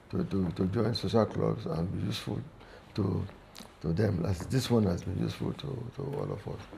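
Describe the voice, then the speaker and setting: A man speaks over noticeable background noise. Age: 70s. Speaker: sports club veteran member and former golf captain. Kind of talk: interview. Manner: halting, with frequent repetitions.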